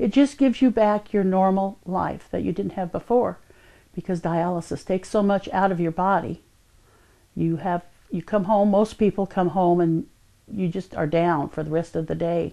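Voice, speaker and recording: With an East Texas accent, a woman speaks at a medium pitch and a moderate pace in a dark, mellow tone with ordinary pitch variation, against a quiet background. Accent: East Texas Southern US. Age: 60s. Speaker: kidney transplant patient. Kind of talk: testimony. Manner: hesitant with fillers.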